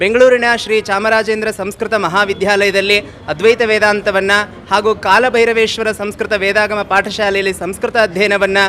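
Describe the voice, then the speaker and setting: Over noticeable background noise, a man speaks in a high, raised and projected voice with flat, monotone intonation. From North Karnataka, Gokak taluk. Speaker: Sanskrit scholar. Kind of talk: interview.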